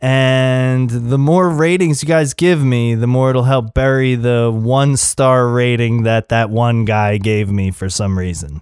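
On a very clean recording with a silent background, a man of medium pitch has an unremarkable speaking voice with ordinary pitch variation. He speaks at a fairly slow pace with hardly any pauses. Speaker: podcast host. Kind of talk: casual interview chat.

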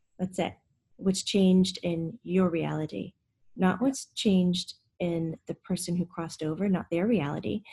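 In a dry, close recording with no echo, a woman speaks at a moderate pace, her fairly low, somewhat breathy voice dark and mellow in tone, with ordinary pitch variation. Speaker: podcast host and medium. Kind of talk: interview conversation.

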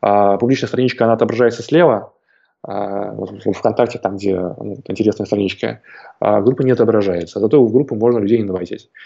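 A man speaks at a fairly quick pace with vocal fry and ordinary pitch variation. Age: young. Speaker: online entrepreneur and course creator. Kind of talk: interview. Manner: halting, many filler sounds.

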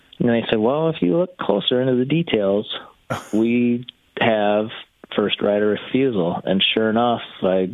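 A man with an unremarkable speaking voice talks at a fairly slow pace, his fairly low pitch showing ordinary variation and his loudness staying very even. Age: 30s. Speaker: retired pro motocross racer. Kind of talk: casual chat. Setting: phone call.

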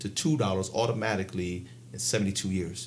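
A man speaks in an American accent. Vocal fry runs through his voice. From Baltimore, Maryland. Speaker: financial consultant. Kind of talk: interview.

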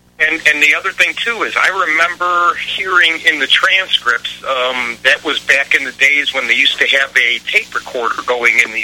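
A man at a fairly high pitch with ordinary pitch variation and a fairly slow pace, over noticeable background noise. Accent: American. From Chicago. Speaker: caller. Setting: phone call.

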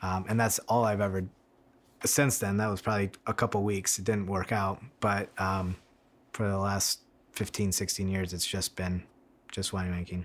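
A man's fairly low, monotone, flat voice at a moderate pace, with long, frequent pauses, in a very clean recording with a silent background. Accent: American. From US Midwest, Michigan. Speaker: winemaker. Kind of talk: interview. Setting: at the winery in person.

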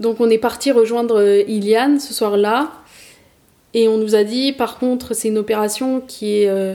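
Her pitch is fairly high and her intonation monotone and flat. The woman talks at a fairly slow pace. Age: 30s. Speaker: podcast host sharing her personal story. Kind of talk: personal testimony.

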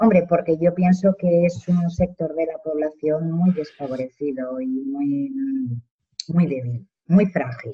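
With a fairly low, somewhat breathy voice and ordinary pitch variation, a woman speaks at a very slow pace. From Spain, Zaragoza. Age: 50s. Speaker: social worker. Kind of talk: casual interview chat.

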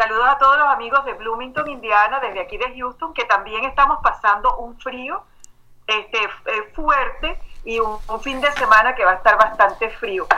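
A woman speaks with a high pitch and a bright, sharp tone at a moderate pace. Her pitch varies in an ordinary way, while her loudness swings widely. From Venezuela. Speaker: life and emotional intelligence coach. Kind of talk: interview.

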